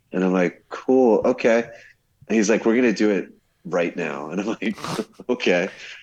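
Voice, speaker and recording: Speaking with a New Jersey accent, a man uses a fairly low pitch with ordinary pitch variation and long, frequent pauses. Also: moderate pace. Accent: New Jersey American. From New Jersey, US. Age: 40s. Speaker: scientific glassblower. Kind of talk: storytelling in casual chat. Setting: remote call from Brazil.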